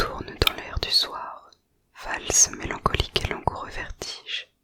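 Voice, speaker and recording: Every word is whispered. The delivery is very slow. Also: woman. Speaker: ASMR creator. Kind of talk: whispered poetry reading.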